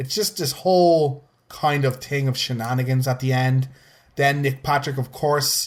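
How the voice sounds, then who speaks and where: Somewhat breathy, a man speaks at a medium pitch. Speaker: wrestling podcast host. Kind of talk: casual chat. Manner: animated; halting.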